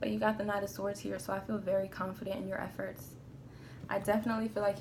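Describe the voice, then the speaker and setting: Speech comes at a very fast pace with audible room echo. Noticeable background noise is also present. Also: woman. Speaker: tarot reader. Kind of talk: tarot reading. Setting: outdoors in a park. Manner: subdued, melancholy tone; casual, profane.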